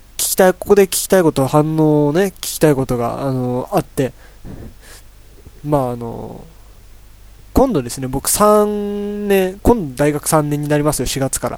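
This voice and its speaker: With a normal speaking voice, a man talks at a moderate pace and a fairly high pitch. His intonation is lively, and his loudness swings widely. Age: 20s. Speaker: solo podcast host, university student. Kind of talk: casual solo talk. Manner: rambling, filler-heavy.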